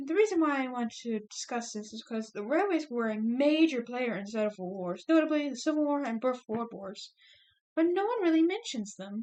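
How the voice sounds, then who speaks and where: The speaker talks at a fairly quick pace with big swings in loudness. The pitch swings very widely. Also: woman, high pitch for a woman. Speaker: student. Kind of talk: class presentation speech. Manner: stuttering, hesitant.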